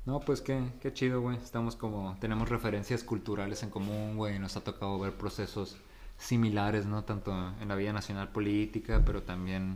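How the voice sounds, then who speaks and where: A man talks at a fairly quick pace in an ordinary speaking voice. His pitch is fairly low, and his intonation fairly even. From Mexico, La Paz, Baja California Sur. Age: 30s. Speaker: podcast host. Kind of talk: casual chat.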